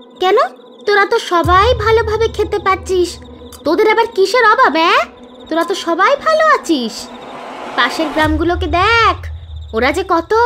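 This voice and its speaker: In a cartoonish character voice, a female-sounding speaker talks at a moderate pace at an extremely high pitch, with clear background noise behind her. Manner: haughty, contemptuous.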